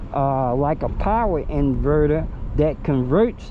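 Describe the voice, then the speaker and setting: Audible room echo carries the voice of a man with a fairly high pitch and ordinary pitch variation. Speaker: e-bike YouTuber. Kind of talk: casual vlog monologue. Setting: outdoors on e-bike ride. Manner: casual, animated.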